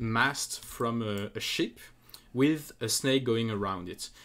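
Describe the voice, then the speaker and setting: Lively intonation colors a man's speech in a French accent on a very clean recording with a silent background. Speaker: speedrunner. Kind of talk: casual game analysis commentary.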